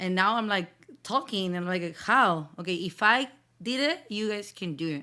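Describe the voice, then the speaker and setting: A woman's fairly low voice with a bright, sharp tone, fairly slow, with ordinary pitch variation, on a very clean recording with a silent background. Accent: strong Spanish. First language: Spanish. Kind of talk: casual faith talk. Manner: hesitant, with fillers.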